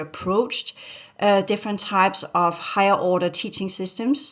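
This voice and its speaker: A woman speaks with a Danish accent. She keeps a moderate pace. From Denmark. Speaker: spiritual teacher. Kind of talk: casual chat. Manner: halting.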